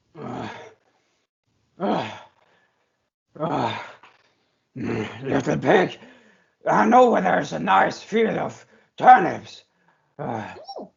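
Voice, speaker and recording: In a put-on character voice, a man speaks very slowly with a fairly high, raspy pitch and long, frequent pauses. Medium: read story. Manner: wheedling, with drawn-out "ah" and "hmm".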